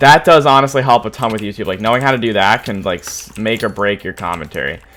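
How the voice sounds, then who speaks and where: Over noticeable background noise, the speaker talks at a very fast pace. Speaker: YouTuber. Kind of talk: live Q&A. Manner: casual, many fillers.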